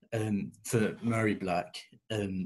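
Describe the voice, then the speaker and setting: A man with an English accent speaks in a fairly low voice. He sounds somewhat breathy, with a monotone, flat intonation. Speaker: student podcast presenter. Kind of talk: prepared talk. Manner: halting, many fillers.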